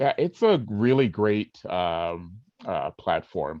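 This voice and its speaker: A man speaks at a very slow pace. His fairly low pitch shows ordinary variation. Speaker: voiceover artist. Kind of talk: interview. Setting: webinar video call. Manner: halting, many fillers.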